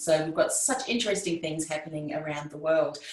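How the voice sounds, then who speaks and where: The speaker has an Australian accent and ordinary pitch variation. Noticeable background noise and audible room echo are present. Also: woman. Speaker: podcasting coach. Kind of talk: interview conversation.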